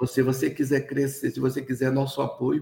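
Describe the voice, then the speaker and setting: Moderately paced, a man talks at a medium pitch with a dark, mellow tone. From Amapá, northern Brazil (Oiapoque, riverside community). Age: 60s. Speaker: cocoa farmer and chocolate producer. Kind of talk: interview. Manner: halting, many repetitions and fillers.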